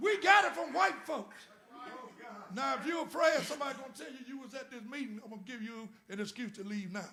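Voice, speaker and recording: A raised, projected voice races along at a very fast pace, its pitch swinging very widely and its loudness rising and falling sharply, with audible echo from the room. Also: man, extremely high pitch for a man. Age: 70s. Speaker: former state senator and guest speaker. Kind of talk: sermon. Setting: church. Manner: animated.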